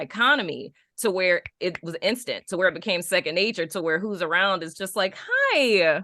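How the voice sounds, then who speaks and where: A woman's animated voice with a New Orleans accent, medium in pitch, with ordinary pitch variation and a moderate pace. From Dallas, Texas, then New Orleans as a teen. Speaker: podcast co-host. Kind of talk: casual chat.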